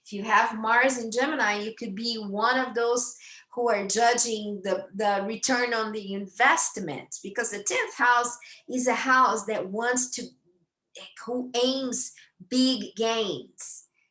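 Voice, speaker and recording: A woman with a Brazilian accent speaks at a very slow pace, her fairly high voice bright and sharp. Her intonation stays fairly even while her loudness swings widely. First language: Brazilian Portuguese. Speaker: astrologer. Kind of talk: lecture. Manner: halting, many fillers and repetitions.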